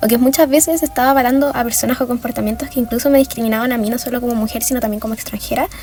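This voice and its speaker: This woman speaks at a very fast pace, with hardly any pauses and fairly even intonation at a high pitch. Noticeable background noise runs underneath. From Venezuela, moved to Chile at ten. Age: 20s. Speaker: design student, activist. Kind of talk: documentary interview testimony.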